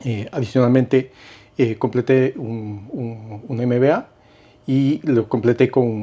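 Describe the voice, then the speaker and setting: With a Cuenca Ecuadorian accent, a man speaks in a dark, mellow tone at a very slow pace. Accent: Cuenca Ecuadorian sing-song. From Ecuador, Cuenca. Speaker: investment and insurance broker. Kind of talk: casual interview. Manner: hesitant, many fillers.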